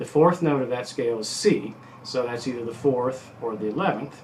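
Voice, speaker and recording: Amid audible room echo, a man of medium pitch talks at a fairly quick pace with ordinary pitch variation. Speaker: guitar teacher. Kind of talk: tutorial. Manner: fast; casual, halting with many fillers.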